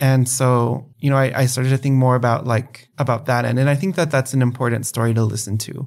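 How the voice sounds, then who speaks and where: Speaking at a medium pitch in a normal speaking voice with an American accent, a man talks at a fairly quick pace with hardly any pauses and fairly even intonation. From El Paso, Texas. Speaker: PhD student. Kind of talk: interview conversation.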